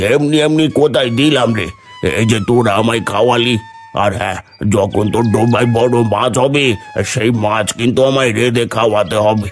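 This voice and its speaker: Against clear background music, a man uses a cartoonish character voice at a medium pitch. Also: moderate pace. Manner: gentle, fatherly.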